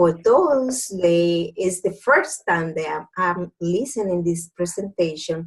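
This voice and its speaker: Speaking at a very slow pace, a woman with a Spanish accent uses a fairly low pitch and lively intonation. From Dominican Republic. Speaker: doctor turned network marketing entrepreneur. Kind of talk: business opportunity presentation. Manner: halting.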